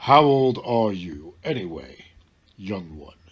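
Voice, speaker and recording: A booming, fairly low-pitched put-on character voice from a man, at a fairly slow pace. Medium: read story.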